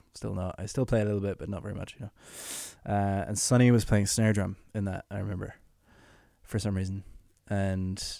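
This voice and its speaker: Over a very clean, silent background, a man with an Irish accent speaks in a dark, mellow tone at a fairly low pitch with monotone, flat intonation. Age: 20s. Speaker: musician. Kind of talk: casual chat.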